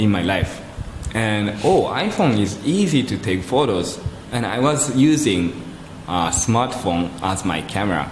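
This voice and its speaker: Amid noticeable background noise and audible room echo, a man with a Japanese accent talks at a fairly slow pace with very wide pitch swings. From Japan (Kobe, Yokohama). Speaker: photographer. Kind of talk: interview conversation.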